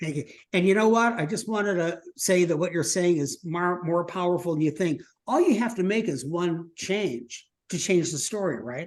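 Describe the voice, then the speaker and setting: A man's high voice with ordinary pitch variation at a moderate pace. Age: 70s. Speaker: storytelling workshop presenter. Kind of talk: workshop discussion.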